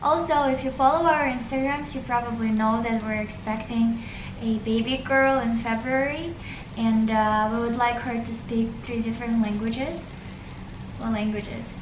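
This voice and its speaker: Fairly even intonation and a moderate pace come through audible room echo and noticeable background noise. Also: woman, fairly high pitch for a woman. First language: Russian. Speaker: vlogger. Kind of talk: casual chat.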